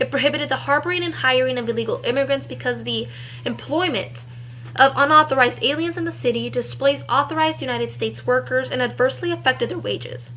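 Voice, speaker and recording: Against noticeable background noise, a woman with an American accent speaks at a very fast pace. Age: 20s. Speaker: poet. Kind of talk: spoken word poetry.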